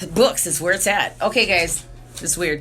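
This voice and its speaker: A woman is speaking. There is music in the background. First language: Spanish. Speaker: spiritual livestreamer. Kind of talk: casual monologue. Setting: alone in a room. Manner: rambling, filler-heavy.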